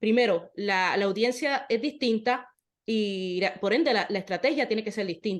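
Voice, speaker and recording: An unremarkable speaking voice at a moderate pace, with ordinary pitch variation over a quiet background. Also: woman. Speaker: podcast host, interviewer. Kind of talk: casual chat.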